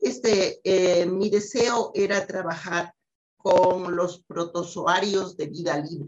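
Here a woman talks at a very slow pace. Her pitch is medium and her intonation fairly even. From Ecuador, Quito. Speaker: scientist. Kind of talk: interview.

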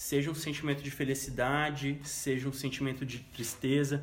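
With music in the background and audible room echo, a man talks at medium pitch. His pace is fairly slow. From interior of São Paulo state, Brazil. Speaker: journalist. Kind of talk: casual chat.

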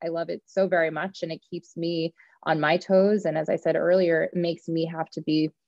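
This woman talks at a fairly quick pace with a fairly low pitch. Her intonation is monotone and flat. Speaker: actor and acting coach. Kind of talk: casual interview chat. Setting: remote call. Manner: passionate.

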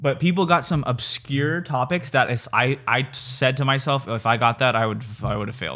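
In a Californian accent, a man speaks with a bright, sharp tone at medium pitch and ordinary pitch variation. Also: very clean recording, silent background. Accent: Californian American. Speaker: podcast co-host. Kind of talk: casual chat. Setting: home room.

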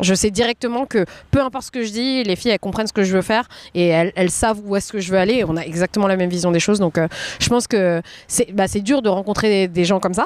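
At a very fast pace, a woman talks at a medium pitch with ordinary pitch variation, in a dry, close sound with no echo. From France. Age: 20s. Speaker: café owner, entrepreneur. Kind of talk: casual interview.

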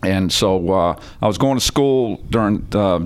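A man's fairly low pitch in an ordinary speaking voice, with ordinary pitch variation. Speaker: company president and CEO. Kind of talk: casual interview chat. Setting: on location at a business. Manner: informal, friendly.

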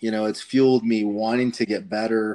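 With an American accent, a man speaks at a moderate pace and fairly low pitch. It is an ordinary speaking voice with fairly even intonation. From southern Colorado. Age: 30s. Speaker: hunting podcast host. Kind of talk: casual chat.

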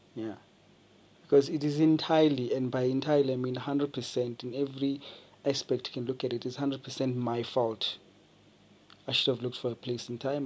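The man talks at a very fast pace. His intonation is monotone and flat. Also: medium pitch for a man. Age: 20s. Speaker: podcaster. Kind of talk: solo late-night monologue. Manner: rambling, halting with repetitions.

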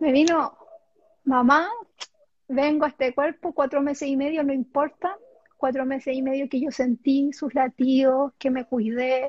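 A woman speaking fairly slowly in a high-pitched voice, her intonation fairly even. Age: 30s. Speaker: self-healing therapist. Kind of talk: casual interview.

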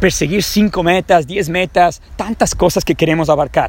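A man is speaking. His pace is fairly quick. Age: 30s. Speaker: personal development podcaster. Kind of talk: motivational monologue. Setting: outdoors in a park.

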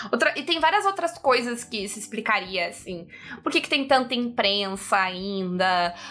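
The voice swings very widely in pitch and shows big swings in loudness at a fairly slow pace. Noticeable background noise sits behind it. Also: woman, fairly high pitch for a woman. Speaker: podcast host. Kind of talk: casual chat.

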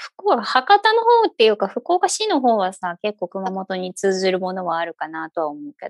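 With a slight Kyushu accent, a woman speaks with hardly any pauses and big swings in loudness, in a dry, close sound with no echo. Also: moderate pace. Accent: slight Kyushu intonation. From Fukuoka, Japan (eastern area near Oita). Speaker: podcast host, mother. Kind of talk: casual chat.

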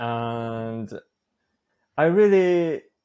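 A man with a Japanese accent. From Osaka, Japan. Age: 30s. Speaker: polyglot, language learner, YouTuber. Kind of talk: casual interview. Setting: video call from Japan. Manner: halting, self-correcting.

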